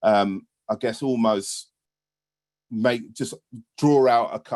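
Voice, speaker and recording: With a British accent, a man at medium pitch uses ordinary pitch variation, and the sound is dry and close with no echo. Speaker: British teacher on union delegation to Cuba. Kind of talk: panel talk on video webinar. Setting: video call.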